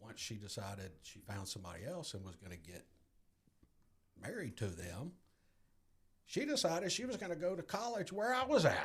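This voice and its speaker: A man with an American accent speaks at a moderate pace with long, frequent pauses, a fairly high pitch, very wide pitch swings, vocal fry and big swings in loudness. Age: 60s. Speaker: guest in recovery. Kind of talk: testimony.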